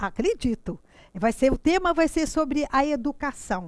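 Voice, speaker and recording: A woman speaks with lively intonation. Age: 60s. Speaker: teacher. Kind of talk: lecture. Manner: halting, frequent repetitions.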